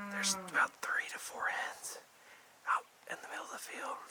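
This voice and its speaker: Through noticeable background noise, a man whispers at a moderate pace. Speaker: hunting video host. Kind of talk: casual field narration to camera. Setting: outdoors.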